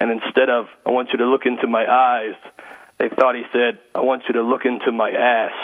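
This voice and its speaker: A man's medium-pitched, flat monotone at a fairly quick pace, over noticeable background noise. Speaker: stand-up comedian and corporate speaker. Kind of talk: casual interview. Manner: loud.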